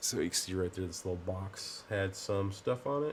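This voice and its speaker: Somewhat breathy, a man speaks at a moderate pace. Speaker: scale model builder. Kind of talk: tutorial talk to camera. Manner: casual, hesitant.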